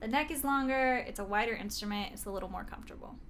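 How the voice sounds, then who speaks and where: A woman speaks at a very fast pace with ordinary pitch variation. Noticeable background noise and audible room echo fill the clip. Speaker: singer-songwriter and ukulele YouTuber. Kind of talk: product unboxing and review. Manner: animated.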